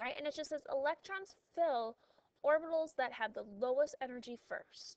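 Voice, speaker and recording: A woman speaks at a moderate pace in a high voice with ordinary pitch variation, the sound dry and close with no echo. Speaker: high school chemistry teacher. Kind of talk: recorded class notes lecture. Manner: casual, lots of fillers.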